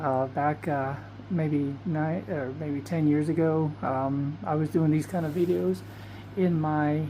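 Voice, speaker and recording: Soft-spoken and very deep in pitch, a woman talks at a very slow pace with ordinary pitch variation amid audible room echo. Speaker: vlogger. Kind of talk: casual vlog monologue. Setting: bedroom at night. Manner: soft-spoken, low; hesitant, many fillers.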